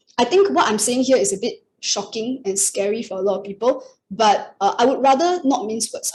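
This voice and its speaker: Somewhat breathy and fairly high in pitch, a woman talks at a fairly quick pace with lively intonation. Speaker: astrologer. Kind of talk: webinar presentation. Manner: fast.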